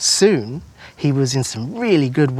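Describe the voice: The text is read aloud plainly. The intonation sounds lively.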